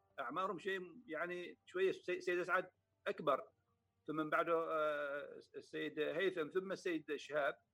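With music in the background, a man with a high pitch speaks at a moderate pace, using fairly even intonation and long, frequent pauses. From Oman, Samail. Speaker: poet and state council member. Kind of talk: interview.

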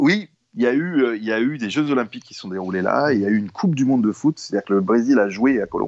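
Talking at a very fast pace, the man keeps a medium pitch while his loudness swings widely. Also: lively intonation. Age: 50s. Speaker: illustrator, former advertising art director. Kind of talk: casual interview. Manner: halting, with many repetitions.

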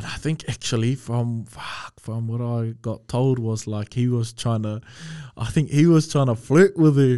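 Fairly slow with fairly even intonation, a man speaks in a dark, mellow tone over a quiet background. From New Zealand, Auckland. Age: 20s. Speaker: kapa haka performer and university student. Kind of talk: casual chat. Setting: studio.

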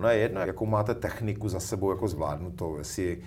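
Somewhat breathy speech with a dark, mellow tone and ordinary pitch variation. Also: man. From Czechia, northern Moravia (Zábřeh). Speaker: education manager. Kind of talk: interview. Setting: studio. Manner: hesitant, many fillers.

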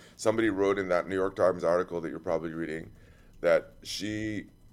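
With music playing in the background, a man speaks at a fairly low pitch with ordinary pitch variation. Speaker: podcast host. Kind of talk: casual chat. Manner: halting.

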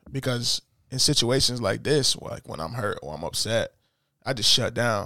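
Recorded very cleanly against a silent background, with a dry, close sound and no echo, a man speaks at medium pitch and a moderate pace, his bright, sharp tone carrying vocal fry and ordinary pitch variation. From US, inner-city neighborhood. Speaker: podcast host. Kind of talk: casual chat.

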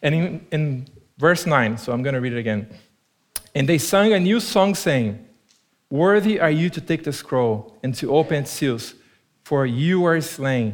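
With a Portuguese accent, a man talks fairly slowly, his fairly high pitch carrying lively intonation. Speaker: preacher. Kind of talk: sermon. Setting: church.

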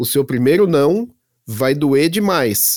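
A man with a fairly high voice and very wide pitch swings at a moderate pace. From Santo André, São Paulo, Brazil. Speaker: software engineer and tech content creator. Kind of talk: casual interview chat.

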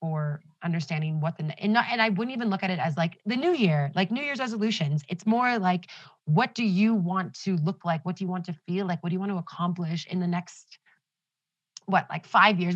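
Somewhat breathy, a woman talks at a fairly quick pace with an animated tone and ordinary pitch variation. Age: 20s. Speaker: astrology enthusiast. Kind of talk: casual chat.

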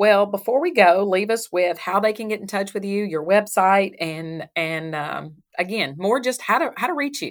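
With a Southern US accent, a woman speaks fairly slowly at medium pitch, her intonation lively. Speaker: chamber of commerce interviewer. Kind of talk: casual interview.

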